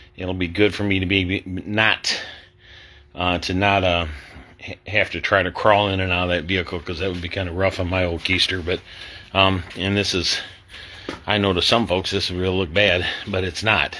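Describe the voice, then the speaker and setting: Through noticeable background noise, a man speaks in a very deep, low voice with monotone, flat intonation. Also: moderate pace. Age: 60s. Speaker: street ministry missionary. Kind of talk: casual video update. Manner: halting.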